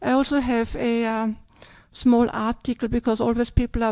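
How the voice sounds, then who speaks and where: A woman with an Austrian accent speaks at fairly high pitch in a dark, mellow tone and monotone, flat intonation, with a dry, close sound with no echo. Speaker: Buddhist nun. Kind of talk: dharma talk Q&A. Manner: hesitant, many fillers.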